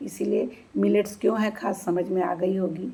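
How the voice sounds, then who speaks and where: Using a plain, everyday voice, a woman talks at a moderate pace and a fairly low pitch. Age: 60s. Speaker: retired bank employee giving health tips. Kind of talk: informal health talk to camera.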